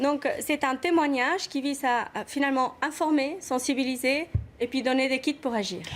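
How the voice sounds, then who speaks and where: Delivered at a moderate pace with ordinary pitch variation, the voice carries an Argentine accent. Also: woman, high pitch for a woman. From Argentina. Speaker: activist mother. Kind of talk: TV talk show interview.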